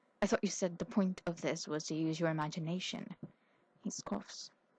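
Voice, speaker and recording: A soft-spoken, somewhat breathy woman speaks at a moderate pace with a fairly low pitch and ordinary pitch variation. The sound is dry and close, with no echo. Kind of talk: audiobook reading.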